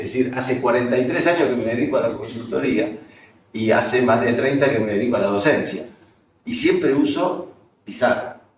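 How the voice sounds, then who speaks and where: There is audible room echo around a man's medium-pitched voice. He moves at a moderate pace, with ordinary pitch variation. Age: 60s. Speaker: professor and management consultant. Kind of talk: lecture.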